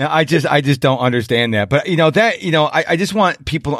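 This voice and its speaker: Speaking at a fairly quick pace, a man's pitch swings very widely. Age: 50s. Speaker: podcast host. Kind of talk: interview podcast. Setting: remote interview.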